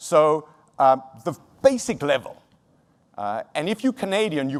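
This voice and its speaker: This very clean recording has a silent background. A man speaks at a fairly high pitch with very wide pitch swings. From South Africa. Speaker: motivational keynote speaker. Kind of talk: keynote speech. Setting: stage with audience. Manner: energetic.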